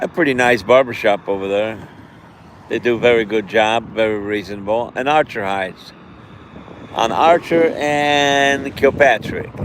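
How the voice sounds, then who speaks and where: Over noticeable background noise, a man speaks at medium pitch and a fairly slow pace with ordinary pitch variation. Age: 60s. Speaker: community advocate. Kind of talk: casual live stream talk outdoors. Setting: outdoors.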